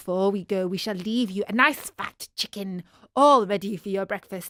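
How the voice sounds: Here is a natural reading voice. It reads the text out.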